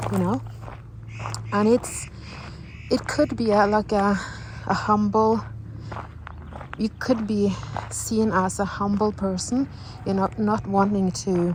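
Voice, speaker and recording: Someone with a Norwegian accent talks at a very slow pace with long, frequent pauses, very even loudness and fairly even intonation over noticeable background noise. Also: woman, medium pitch for a woman. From Norway. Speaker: vlogger. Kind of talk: personal vlog monologue. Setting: outdoors, walking in the mountains. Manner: halting, with many fillers and restarts.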